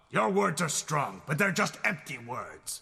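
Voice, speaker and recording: A man does a cartoonish character voice in a stern tone at a fairly high pitch. He speaks at a fairly slow pace, with very wide pitch swings. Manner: stern, challenging.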